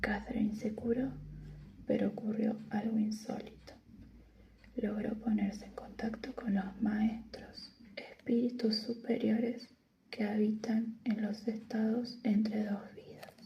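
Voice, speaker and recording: Soft-spoken delivery at a very slow pace. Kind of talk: reading a book blurb aloud. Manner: soft-spoken, quiet.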